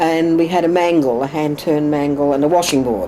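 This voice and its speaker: A woman with an Australian accent talks at a fairly quick pace over noticeable background noise. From Australia, Sydney (Woolloomooloo). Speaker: oral history interviewee. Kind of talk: oral history interview. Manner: halting.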